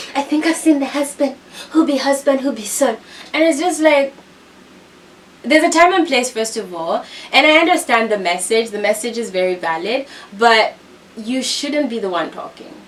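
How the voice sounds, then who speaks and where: Over noticeable background noise, a woman with a high pitch speaks in an animated tone with very wide pitch swings and long, frequent pauses. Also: moderate pace. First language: not English. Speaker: reality TV commentator. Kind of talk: casual commentary recap.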